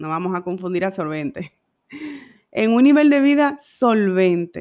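A woman speaks at a fairly slow pace in a normal speaking voice, on a very clean recording with a silent background. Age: 30s. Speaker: podcast host. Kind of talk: personal monologue.

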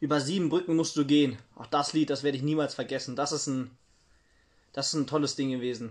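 A man with an unremarkable speaking voice, fairly high pitch, and fairly even intonation at a fairly quick pace, in a very clean recording with a silent background. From East Germany, Halle. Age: 50s. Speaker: interviewee on East German youth. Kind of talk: interview.

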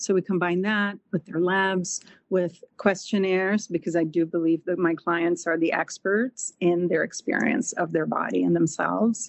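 A woman with a Portuguese accent speaks at a fairly low pitch, her loudness very even and her speech hardly broken by pauses. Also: fairly even intonation, moderate pace. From Brazil. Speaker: holistic nutritionist. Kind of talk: interview.

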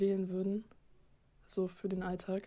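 The voice has a dark, mellow tone and monotone, flat intonation. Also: woman. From Hamburg, northern Germany. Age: young. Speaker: amateur photographer. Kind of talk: casual chat.

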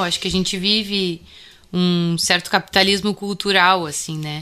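Bright, sharp tone from a woman at medium pitch, fairly even intonation, very clean recording with a silent background. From Bagé, Rio Grande do Sul, southern Brazil. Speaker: musician and music researcher. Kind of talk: interview.

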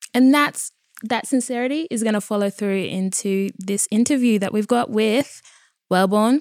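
A woman of medium pitch speaks at a moderate pace with ordinary pitch variation. The recording is very clean, with a silent background and a dry, close sound without echo. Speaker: podcast host. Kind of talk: casual chat. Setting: studio. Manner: animated.

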